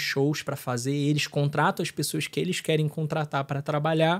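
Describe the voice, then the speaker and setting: A fairly high-pitched man at a moderate pace, on a very clean recording with a silent background. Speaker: consecrated lay missionary, record label head. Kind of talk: casual podcast interview. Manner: halting, with many fillers and repetitions.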